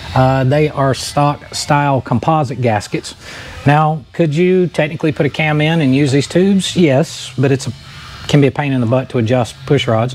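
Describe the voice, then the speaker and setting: Faint music plays in the background. The speaker talks at a moderate pace with ordinary pitch variation. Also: man. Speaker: mechanic host. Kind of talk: tutorial. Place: workshop. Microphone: lapel.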